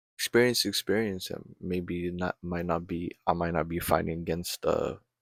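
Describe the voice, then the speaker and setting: A man with a very deep, low pitch speaks quietly at a fairly slow pace. The recording is very clean with a silent background and a dry, close sound with no echo. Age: 20s. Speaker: amateur boxer and vlogger. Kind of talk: casual late-night monologue. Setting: at home at midnight. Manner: rambling, halting.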